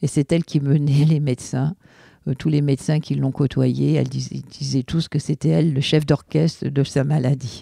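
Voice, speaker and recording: Very deep and low, a woman's voice comes with a dark, mellow tone and vocal fry, her intonation fairly even. She talks at a moderate pace, and the sound is dry and close, with no echo. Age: 60s. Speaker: bereaved mother. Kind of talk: testimony. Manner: halting.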